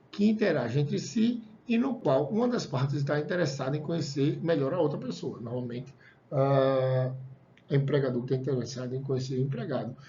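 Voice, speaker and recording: A man's fairly high voice carries audible room echo. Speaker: college lecturer. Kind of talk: lecture. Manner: fast; casual, conversational.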